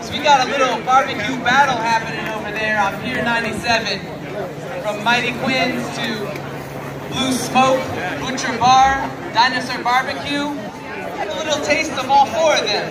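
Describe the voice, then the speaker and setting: Crowd noise sits in the background of speech at a fairly slow pace. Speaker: festival emcee. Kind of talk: stage announcement. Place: stage.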